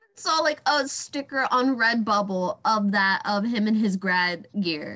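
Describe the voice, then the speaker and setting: A woman with an unremarkable speaking voice and a fairly high pitch talks at a fairly slow pace with hardly any pauses. Her intonation is lively, with big swings in loudness. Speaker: podcast host. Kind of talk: casual chat.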